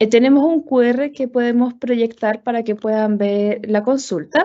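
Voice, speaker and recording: Here is an ordinary speaking voice. It moves at a moderate pace with ordinary pitch variation. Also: woman. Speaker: webinar moderator. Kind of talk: closing remarks of a webinar.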